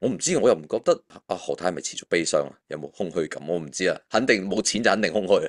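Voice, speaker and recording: Against a quiet background, a man speaks at a very fast pace with hardly any pauses. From Hong Kong. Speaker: finance author. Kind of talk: casual chat. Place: home room. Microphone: video call.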